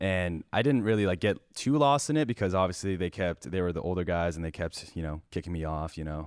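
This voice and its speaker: Very deep and low in pitch, a man speaks at a fairly quick pace with lively intonation and hardly any pauses, in a very clean recording with a silent background. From Ontario, Canada (First Nation reserve near Parry Sound). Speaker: YouTube gaming content creator. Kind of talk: casual chat.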